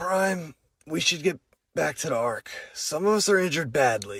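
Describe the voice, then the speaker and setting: A raspy, put-on character voice from a man, fairly high-pitched, at a moderate pace. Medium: machinima.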